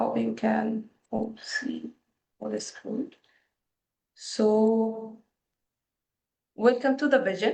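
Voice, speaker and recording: In a non-native accent, a woman speaks at a very slow pace with long, frequent pauses. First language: not English. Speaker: liveaboard boat representative. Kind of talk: webinar presentation. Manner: halting.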